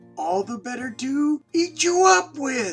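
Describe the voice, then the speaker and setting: A put-on character voice, high-pitched with very wide pitch swings, at a fairly slow pace over faint background music. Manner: growling, menacing.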